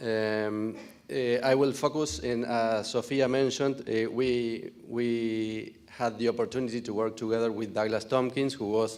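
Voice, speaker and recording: Audible room echo around a man speaking at a fairly slow pace with fairly even intonation. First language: Spanish. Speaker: farm owner. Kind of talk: conference presentation. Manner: halting.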